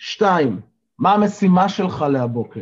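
His pitch high, the man swings it very widely. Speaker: life coach and morning zoom session leader. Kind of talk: motivational talk to online group. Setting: video call. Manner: energetic.

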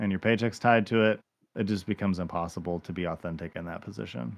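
A man talks in an unremarkable speaking voice, fairly low in pitch, keeping a moderate pace and ordinary pitch variation. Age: 40s. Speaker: former pastor and podcast host. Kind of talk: casual chat.

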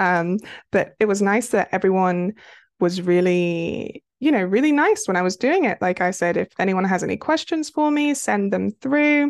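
In a dry, close sound with no echo and a quiet background, a woman with a British accent speaks at a moderate pace in a medium pitch with very wide pitch swings. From United Kingdom. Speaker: romance author. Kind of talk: casual interview chat.

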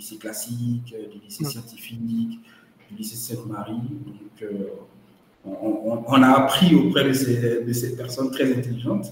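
Talking at a fairly slow pace, a man has a medium pitch. Audible room echo and noticeable background noise surround him. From Côte d'Ivoire (Dimbokro). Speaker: entrepreneur. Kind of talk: interview. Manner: halting, repeats words.

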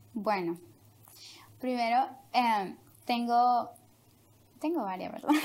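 A woman's high-pitched voice, very slow, with lively intonation and long, frequent pauses. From Honduras. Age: young. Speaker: interview guest sharing life story. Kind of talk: personal testimony. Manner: hesitant, many fillers.

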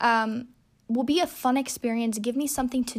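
A woman's high-pitched voice with an animated tone. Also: very clean recording, silent background. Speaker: podcast host. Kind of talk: casual monologue. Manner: halting.

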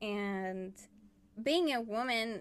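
A fairly high-pitched woman with a Spanish accent. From Chile. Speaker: illustrator and artist. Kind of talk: casual chat.

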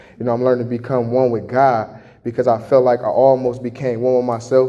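Monotone, flat intonation at a fairly quick pace with an American accent, over noticeable background noise. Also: man. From Chicago. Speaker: testimony giver. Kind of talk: testimony. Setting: homeless shelter. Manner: halting, casual.

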